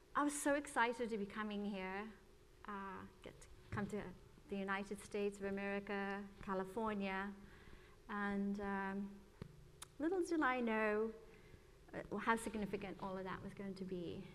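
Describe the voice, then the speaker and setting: At a moderate pace, a woman of medium pitch speaks with ordinary pitch variation and long, frequent pauses, with audible room echo around her voice. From England then Ireland from age 12. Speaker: church member sharing testimony. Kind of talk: testimony. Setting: church.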